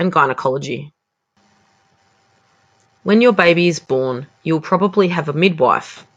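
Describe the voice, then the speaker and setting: A woman speaks with an Australian accent. Her pitch is fairly low, and her intonation is lively. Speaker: English teacher. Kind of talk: educational vocabulary lesson.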